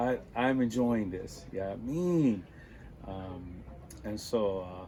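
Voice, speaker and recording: Very slowly, a man speaks in a relaxed tone, his dark, mellow voice at a fairly low pitch. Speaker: musician. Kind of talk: interview. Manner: relaxed, many filler words.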